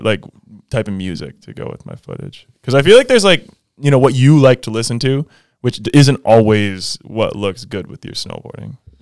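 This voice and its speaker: In an unremarkable speaking voice, a man talks at a moderate pace with lively intonation, the sound dry and close with no echo. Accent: American. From Minnesota, US. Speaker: professional snowboarder. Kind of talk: casual chat.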